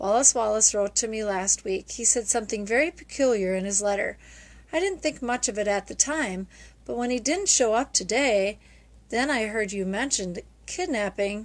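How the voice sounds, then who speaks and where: Using a put-on character voice, a woman speaks softly and shakily at a fairly high pitch and a moderate pace. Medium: read story. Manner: shy, timid.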